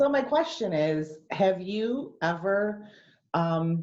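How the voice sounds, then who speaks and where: A woman speaks with a slight Western New York accent. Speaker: reader asking author a question. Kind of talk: audience question on video call. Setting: video call.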